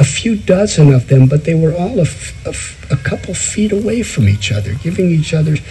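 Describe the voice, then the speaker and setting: The speaker moves at a fairly quick pace with very wide pitch swings. Noticeable background noise runs underneath. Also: man. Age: 70s. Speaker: spiritual teacher. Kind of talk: spiritual discourse.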